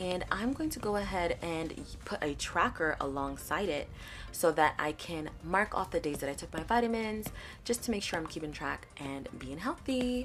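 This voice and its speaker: A soft-spoken woman talks at a moderate pace. Music plays in the background. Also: lively intonation. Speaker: planner video creator. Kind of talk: tutorial voice-over. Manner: quiet.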